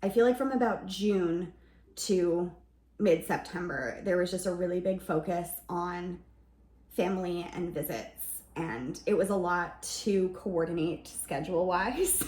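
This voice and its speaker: Vocal fry runs through a woman's fairly low voice, which has ordinary pitch variation. Audible room echo surrounds her. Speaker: lifestyle vlogger. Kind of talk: casual vlog narration.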